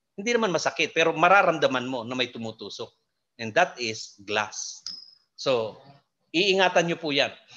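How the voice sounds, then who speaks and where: A man with a bright, sharp tone and vocal fry speaks at a moderate pace, his fairly high pitch swinging very widely. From Philippines. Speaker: hydroponics expert / lecturer. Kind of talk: lecture. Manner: halting, many fillers.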